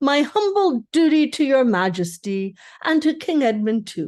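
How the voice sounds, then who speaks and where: A woman puts on a shrill character voice, high in pitch with very wide swings. She talks at a moderate pace over a quiet background. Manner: courtly, bowing.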